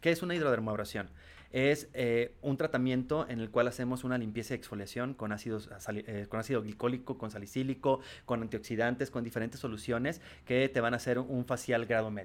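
A man's unremarkable speaking voice at medium pitch, fairly quick and fairly even in intonation, on a very clean recording with a silent background. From Tijuana, Mexico. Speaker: sales executive. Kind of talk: interview.

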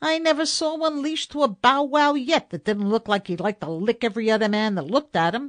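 Against a quiet background, a woman performs a put-on character voice at a fairly high pitch with very wide pitch swings. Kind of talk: comic storytelling. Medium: read story. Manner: slangy, breezy.

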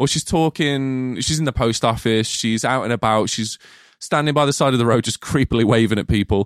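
A man with an English Midlands accent speaks at a fairly quick pace and medium pitch, in an animated tone. The sound is dry and close with no echo, on a very clean recording with a silent background. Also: ordinary pitch variation. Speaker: podcast co-host, film reviewer. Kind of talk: casual chat.

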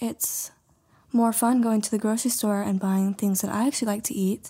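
The voice has a dark, mellow tone with a somewhat breathy quality. It moves at a fairly quick pace with fairly even intonation. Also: woman. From Montana. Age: 20s. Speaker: mailroom worker. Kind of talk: casual chat.

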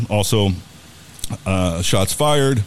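A man with an American accent, plus noticeable background noise. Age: 50s. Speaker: radio host. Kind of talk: live radio show chat.

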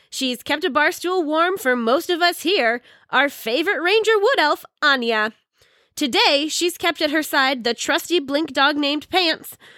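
In a very clean recording with a silent background, a raised, projected voice with a bright, sharp tone and lively intonation holds very even loudness at a fairly slow pace. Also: woman, high pitch for a woman. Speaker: co-announcer. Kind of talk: live sports commentary. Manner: animated.

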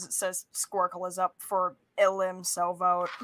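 In a put-on character voice, a woman speaks at a medium pitch with a monotone, flat intonation. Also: moderate pace. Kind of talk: announcer voice. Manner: booming, broadcast-style.

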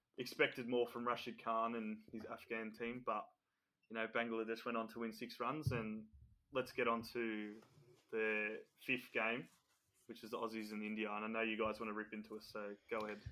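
Long, frequent pauses break up a man's fairly quick speech, in an Australian accent at medium pitch. His tone is bright and sharp, his intonation monotone and flat. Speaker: podcast co-host. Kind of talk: casual chat.

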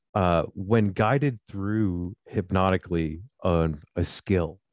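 A man speaks very slowly with a very deep, low pitch and ordinary pitch variation. The sound is dry and close with no echo, against a quiet background. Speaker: hypnotherapist. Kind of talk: interview. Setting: radio show.

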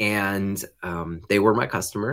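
This is an ordinary speaking voice from a man with fairly low pitch. The recording is very clean, with a silent background. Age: 50s. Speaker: business owner in recovery. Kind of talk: testimony.

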